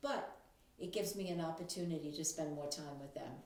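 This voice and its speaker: A woman speaks in a very deep, low voice, with audible echo from the room around her. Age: 70s. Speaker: grandmother talking about technology. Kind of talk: casual monologue to camera. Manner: hesitant with fillers.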